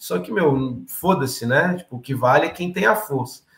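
Audible room echo fills the recording. A man speaks at a fairly slow pace. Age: 30s. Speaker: political candidate and activist. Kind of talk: political interview. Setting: live stream.

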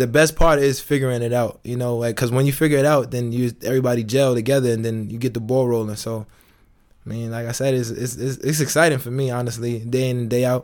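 A very fast pace with monotone, flat intonation. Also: man. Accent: American. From New York. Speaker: professional basketball player. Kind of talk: casual interview.

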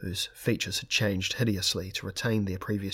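Fairly even intonation over a plain read-aloud passage

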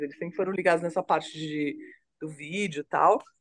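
Pitched fairly low, a woman speaks at a fairly quick pace with lively intonation and an unremarkable speaking voice. The sound is dry and close, with no echo. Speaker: videographer. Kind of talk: casual chat.

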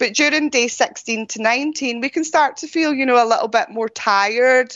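A woman speaks with a Scottish accent. She keeps a moderate pace and ordinary pitch variation. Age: 40s. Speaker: ultra runner and running coach. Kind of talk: interview.

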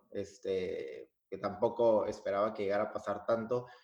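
At a fairly slow pace, a man speaks with a northern Mexican accent. His pitch is medium. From Mexico, Piedras Negras, Coahuila. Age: 20s. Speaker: singer and engineer. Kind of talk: interview.

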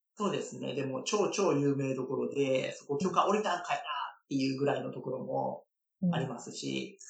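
A man's voice at a moderate pace, loudness rising and falling sharply, with audible room echo. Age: 30s. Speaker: licensed tour guide, dancer and guide instructor. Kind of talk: interview.

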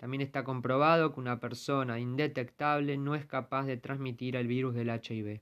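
Heard on a very clean recording with a silent background, the speaker uses a Rioplatense accent with monotone, flat intonation at a moderate pace. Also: man. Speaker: podcast host, journalist. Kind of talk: scripted narration.

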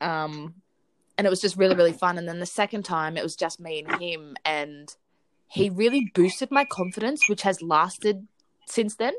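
A woman with an Australian accent speaks at a moderate pace in a medium pitch, with ordinary pitch variation. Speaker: podcast co-host. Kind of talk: casual chat. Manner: animated.

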